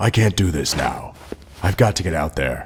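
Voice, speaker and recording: Using a put-on character voice, a man speaks at a very deep, low pitch with lively intonation. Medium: audio drama. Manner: terse, clipped.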